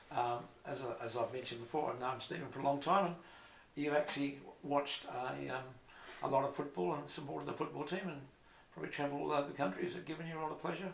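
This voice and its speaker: A man with a fairly high pitch and ordinary pitch variation speaks very fast yet with long, frequent pauses, in audible room echo with noticeable background noise. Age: old. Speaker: podcast host, former cricketer. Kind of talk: casual interview. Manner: halting, many fillers.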